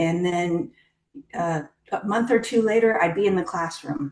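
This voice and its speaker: A woman's normal speaking voice at a fairly slow pace, with ordinary pitch variation. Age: 50s. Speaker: scientist. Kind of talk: interview. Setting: podcast.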